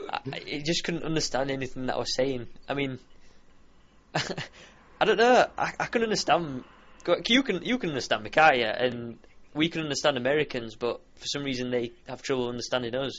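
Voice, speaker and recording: A man with a Yorkshire accent speaks at a fairly quick pace. His pitch is fairly high. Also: ordinary pitch variation. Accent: broad Yorkshire. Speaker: YouTube gamer. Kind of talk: casual chat.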